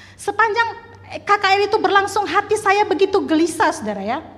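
Audible room echo colors this woman's speech. Noticeable background noise runs underneath. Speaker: preacher. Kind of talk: sermon. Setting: church. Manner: loud.

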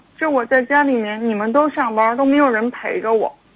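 A woman with a high pitch keeps to a moderate pace. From Harbin, northeast China. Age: 20s. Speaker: caller. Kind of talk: phone-in advice call. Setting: phone call. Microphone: too quiet, far from phone.

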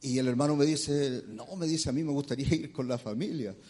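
A man's voice sits at a fairly high pitch and carries a dark, mellow tone. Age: 50s. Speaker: preacher. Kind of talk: sermon.

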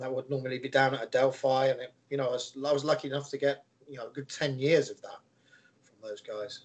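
With an English accent, a man talks very fast in a flat monotone, his loudness swinging widely. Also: medium pitch for a man. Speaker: youth soccer coach. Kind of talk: casual interview.

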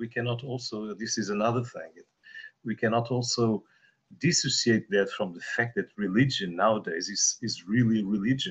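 With a Portuguese accent, a man speaks at a moderate pace in a medium-pitched, somewhat breathy voice whose loudness swings widely. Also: ordinary pitch variation. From Portugal. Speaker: meditation participant. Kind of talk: group discussion.

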